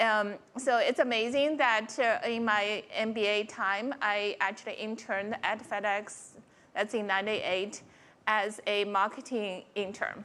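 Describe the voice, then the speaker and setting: A woman speaks with a Chinese accent in a bright, sharp tone. Her pace is fairly slow and her intonation fairly even. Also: fairly high pitch for a woman. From China. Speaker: corporate technology executive. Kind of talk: conference panel talk.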